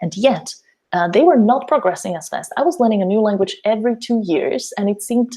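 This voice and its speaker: The tone is dark and mellow, with a Slovak accent. Intonation is lively and the pace fairly quick. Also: woman. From Slovakia. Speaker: language teacher and mentor. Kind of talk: webinar presentation. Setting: online webinar.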